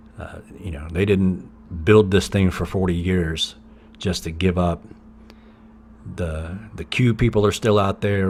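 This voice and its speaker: With an American accent, a man speaks at a moderate pace in a very deep, low pitch and fairly even intonation. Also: big swings in loudness. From US South, East Tennessee. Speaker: podcast host and musician. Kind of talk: casual monologue. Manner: conversational, with fillers and restarts.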